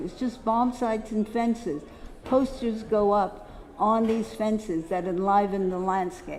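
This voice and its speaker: A woman with an American accent, fairly high pitch and ordinary pitch variation at a fairly slow pace, with audible room echo. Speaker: poster dealer, lecturer. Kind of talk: symposium lecture. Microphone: echo on the microphone.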